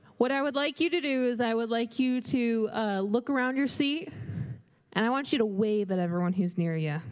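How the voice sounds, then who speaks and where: A woman talks at a fairly quick pace in an ordinary speaking voice, fairly high in pitch, with lively intonation. Her loudness stays very even. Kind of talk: announcements. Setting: church.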